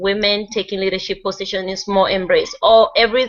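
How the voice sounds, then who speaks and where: A woman talks with a non-native accent. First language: not English. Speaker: group discussion leader. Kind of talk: presentation reading from notes. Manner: halting, stumbles over words.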